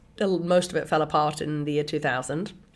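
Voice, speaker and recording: A woman with an American accent speaks at a very deep, low pitch. Her pace is moderate and her intonation monotone and flat. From England. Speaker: venture capital investor. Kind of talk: interview.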